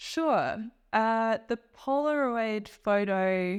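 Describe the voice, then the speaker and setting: A woman with an Australian accent speaks at a fairly high pitch. The recording is very clean, with a silent background. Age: 30s. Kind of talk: interview answer.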